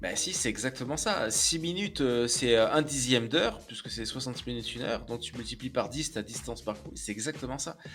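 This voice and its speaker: Over music in the background, a man talks at a fairly quick pace with hardly any pauses. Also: medium pitch for a man, ordinary pitch variation. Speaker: streamer. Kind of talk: casual chat. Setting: live stream.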